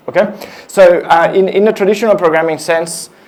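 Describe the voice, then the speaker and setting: A man talks fairly quickly, his voice carrying audible room echo amid noticeable background noise. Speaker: engineering director giving a tech talk. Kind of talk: conference talk. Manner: fast; halting, many fillers.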